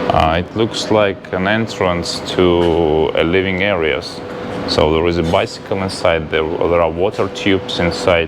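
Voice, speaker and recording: A man's very deep, low voice with a non-native accent, fairly slow and fairly even in intonation, against noticeable background noise. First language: not English. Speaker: travel vlogger. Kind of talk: walking tour vlog. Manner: halting, many fillers.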